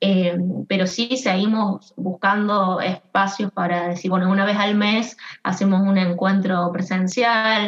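The woman's intonation is flat and monotone. She talks fairly slowly. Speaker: HR consultant, co-founder. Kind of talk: interview.

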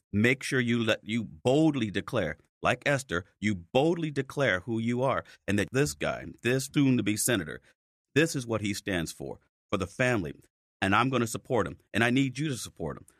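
At a moderate pace, a man with vocal fry talks at a medium pitch with lively intonation, recorded dry and close with no echo. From Chicago, South Side. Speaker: police officer and political candidate. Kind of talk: interview. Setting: studio.

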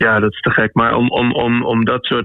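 A man talks at a fairly slow pace in a medium pitch. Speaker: musician. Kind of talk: radio interview. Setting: remote call. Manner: halting.

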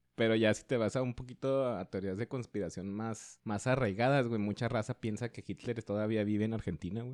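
A man with a normal speaking voice talks at medium pitch and a fairly quick pace, with hardly any pauses, fairly even intonation and a dry, close sound with no echo. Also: quiet background. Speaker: podcast co-host, economist. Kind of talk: casual chat.

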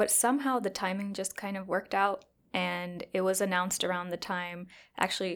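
At a fairly quick pace, a woman with a Chicago accent speaks at medium pitch and fairly even intonation on a very clean recording with a silent background. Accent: Chicago American. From Chicago, US. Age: 20s. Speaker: psychiatry resident. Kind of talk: interview.

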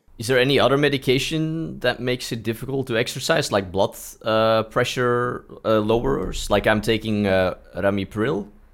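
Recorded very cleanly against a silent background, a man with an ordinary speaking voice speaks at medium pitch and a moderate pace, with ordinary pitch variation. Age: 30s. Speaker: podcast host, cardiac arrest survivor. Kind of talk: casual interview.

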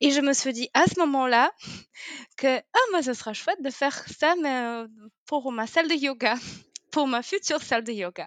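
In a Polish accent, a woman speaks at high pitch with lively intonation and long, frequent pauses. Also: moderate pace. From Poland. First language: Polish (speaking French). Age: 30s. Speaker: yoga teacher. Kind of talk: interview. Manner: hesitant, many fillers.

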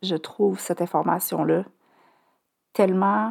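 Her pitch is fairly low, and she speaks with a Quebec accent. The woman's pace is fairly slow. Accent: Québécois French. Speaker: podcast host, cancer survivor. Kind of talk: personal testimony monologue. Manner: hesitant, many filler sounds.

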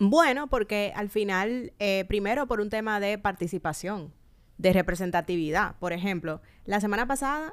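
In an unremarkable speaking voice, a woman talks at medium pitch and a moderate pace with lively intonation, recorded very cleanly against a silent background. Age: 30s. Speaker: podcast co-host and moderator. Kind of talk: casual political discussion.

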